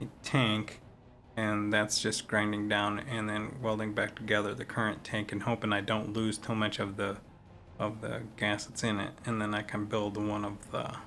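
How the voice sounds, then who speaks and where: With an American accent, a man speaks at a moderate pace in a fairly low, flat monotone while music plays in the background. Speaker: gaming streamer. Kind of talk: casual gameplay commentary. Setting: poor-quality home recording.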